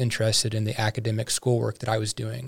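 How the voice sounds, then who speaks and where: A man talks very fast in an American accent, his voice somewhat breathy. The recording is very clean, with a silent background. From US Midwest, St. Louis. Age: 20s. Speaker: podcast host. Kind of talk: interview. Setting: studio.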